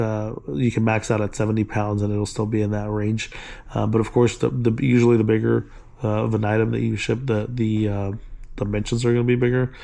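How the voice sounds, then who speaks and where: A man speaks at a fairly quick pace in a fairly low voice. His tone is dark and mellow, with monotone, flat intonation. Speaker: online reseller and tutorial creator. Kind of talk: tutorial. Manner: halting, many fillers; casual.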